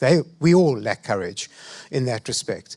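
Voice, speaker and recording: In a dry, close sound with no echo, a man with a South African accent speaks at a moderate pace. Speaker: panelist. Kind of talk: panel discussion.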